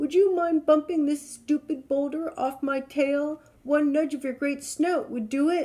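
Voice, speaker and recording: A put-on character voice runs at a high pitch. There are hardly any pauses. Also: moderate pace. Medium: read story. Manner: hearty, booming laugh.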